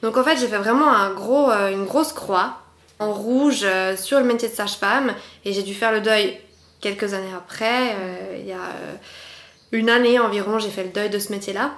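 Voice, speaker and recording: With audible room echo, a woman at a fairly high pitch speaks at a moderate pace, her pitch varying in an ordinary way and her speech broken by long, frequent pauses. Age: 20s. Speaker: patient sharing illness experience, former midwife. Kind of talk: interview testimony.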